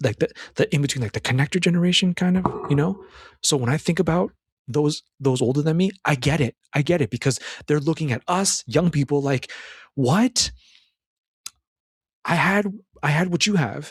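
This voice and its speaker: With a fairly high pitch and an animated tone, a man talks at a fairly quick pace in a somewhat breathy voice, his intonation lively, with long, frequent pauses and a dry, close sound with no echo. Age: 30s. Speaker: self-improvement podcaster. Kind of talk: solo commentary on a film. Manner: animated, many repetitions and restarts.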